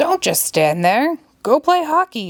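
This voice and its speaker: A put-on character voice comes through loud and high-pitched at a fairly slow pace. The recording is very clean, with a silent background. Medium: read story. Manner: loud, bellowing.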